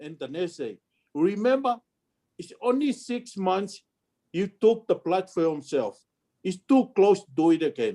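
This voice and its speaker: This man's high voice has a dark, mellow tone and very wide pitch swings, moving at a fairly slow pace with long, frequent pauses and big swings in loudness. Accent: Tongan. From Tonga. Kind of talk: family history storytelling. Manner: casual, conversational.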